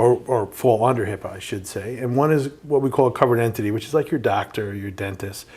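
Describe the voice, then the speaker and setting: A man with a New York accent speaks at a medium pitch with ordinary pitch variation. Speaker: compliance company representative. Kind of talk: podcast interview.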